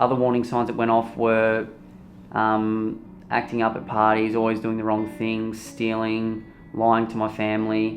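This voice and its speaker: Slow and flat, a man talks in a monotone at a medium pitch. Audible room echo surrounds his fairly slow delivery. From Australia, Torquay, Victoria. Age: 20s. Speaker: recovering addict telling his story. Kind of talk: documentary interview. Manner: casual, halting with fillers.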